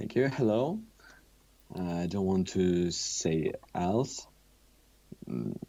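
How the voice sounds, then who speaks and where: With a Russian accent, a man speaks very slowly at a very deep, low pitch, using lively intonation and long, frequent pauses. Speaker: musician. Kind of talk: interview. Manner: halting.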